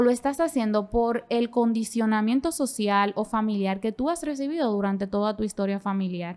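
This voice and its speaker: The intonation is lively on a very clean recording with a silent background. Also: woman. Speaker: podcast host and clinical psychologist. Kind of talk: conversational podcast explanation. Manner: fast; animated.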